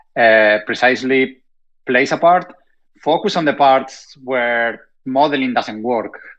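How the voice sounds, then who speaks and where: A man talks at a fairly slow pace in a medium pitch with ordinary pitch variation. He has a strong Spanish accent. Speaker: robotics industry panelist. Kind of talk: panel discussion.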